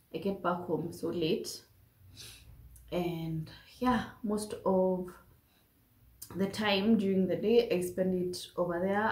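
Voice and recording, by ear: A woman speaks slowly with fairly even intonation and a slightly mellow tone, and audible room echo surrounds her.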